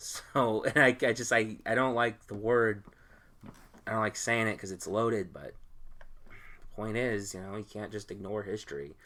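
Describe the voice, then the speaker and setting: With a bright, sharp tone and a fairly low pitch, a man speaks in fairly even intonation while his loudness swings a lot. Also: moderate pace. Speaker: podcast host. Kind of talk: casual chat.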